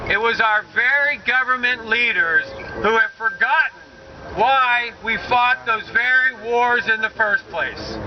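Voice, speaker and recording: Against noticeable background noise, a man with an American accent talks at a fairly slow pace in an extremely high pitch, his loudness very even. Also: ordinary pitch variation. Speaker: military veteran and political candidate. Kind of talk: political rally speech. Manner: bold, forthright.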